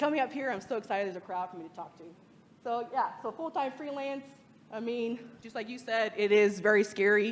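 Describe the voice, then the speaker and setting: An animated voice with an American accent moves at a fairly quick pace, its loudness rising and falling a lot. The pitch varies an ordinary amount. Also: woman. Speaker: freelance lettering artist and designer. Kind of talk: meetup talk to audience.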